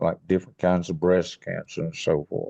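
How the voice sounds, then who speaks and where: A man speaks with a dark, mellow tone over a quiet background. The sound is dry and close, with no echo. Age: 80s+. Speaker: retired forester. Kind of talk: podcast interview.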